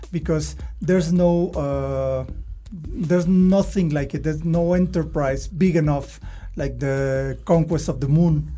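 A man talks at a fairly slow pace, and noticeable background noise can be heard. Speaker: podcast host. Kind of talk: interview.

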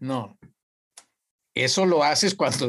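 Against a quiet background, a man speaks at a fairly slow pace. His voice is fairly high, with lively intonation. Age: 60s. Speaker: university professor. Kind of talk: casual chat.

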